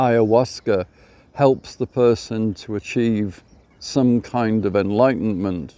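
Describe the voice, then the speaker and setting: Very slowly, a man speaks in a dark, mellow tone with fairly even intonation. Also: medium pitch for a man. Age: 60s. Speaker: vlogger. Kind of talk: casual monologue. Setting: outdoors by a lake. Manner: conversational, with repetitions.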